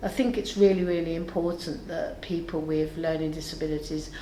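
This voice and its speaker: Audible echo from the room plus noticeable background noise. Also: woman. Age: 70s. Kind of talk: interview testimony.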